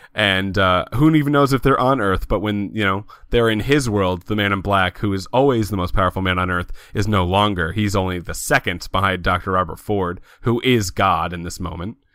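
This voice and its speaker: A man with an unremarkable speaking voice talks at a fairly quick pace. His pitch is fairly low, with ordinary pitch variation. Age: 20s. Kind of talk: casual chat.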